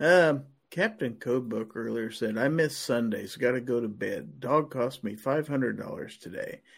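With a Midwestern US accent, a man of medium pitch speaks at a fairly slow pace with vocal fry and ordinary pitch variation. He takes hardly any pauses on a very clean recording with a silent background. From Kansas. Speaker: podcast host. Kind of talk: live-streamed panel chat. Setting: live stream.

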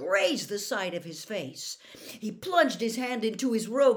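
It is a natural reading voice with lively intonation.

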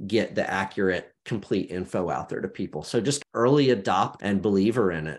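At a moderate pace, a man talks with a fairly low pitch in an ordinary speaking voice. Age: 40s. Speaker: media founder and podcast host. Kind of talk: interview conversation.

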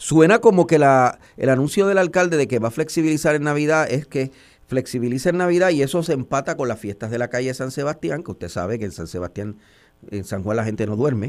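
At a fairly quick pace, the voice moves through very wide pitch swings on a very clean recording with a silent background. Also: man, fairly high pitch for a man. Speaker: radio news host. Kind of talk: radio interview.

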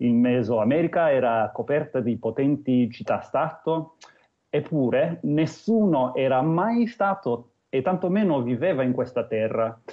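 With an English accent, a man speaks at a fairly slow pace in a fairly high pitch, with lively intonation and very even loudness. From New Zealand, Christchurch. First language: English (speaking Italian). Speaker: Maori cultural guest. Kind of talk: interview. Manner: non-native Italian, hesitant.

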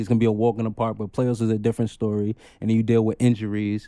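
Over a silent background in a very clean recording, a man with a New York accent and a dark, mellow tone talks at a very fast pace and a medium pitch. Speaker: podcaster, former football player. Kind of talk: casual chat.

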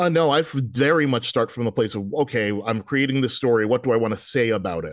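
In an American accent, a man rattles along at a very fast pace with hardly any pauses. His medium pitch varies in an ordinary way against a quiet background. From US Northeast, Brooklyn then New Jersey suburb. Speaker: comic book writer. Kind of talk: interview. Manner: frequent fillers, halting.

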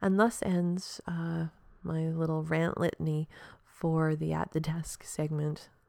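A woman speaks quietly in a fairly low pitch with a dark, mellow tone, and the sound is dry and close with no echo. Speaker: podcast host. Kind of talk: solo podcast monologue. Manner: casual, rambling with fillers.

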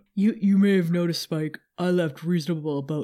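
A man uses a put-on character voice pitched high, speaking at a moderate pace with fairly even intonation. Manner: menacing, deadpan.

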